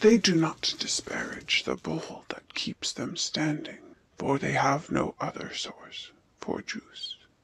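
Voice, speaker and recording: A cartoonish character voice whispers. The pace is fairly slow. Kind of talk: allegorical fable narration. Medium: puppet show. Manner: measured, ironic.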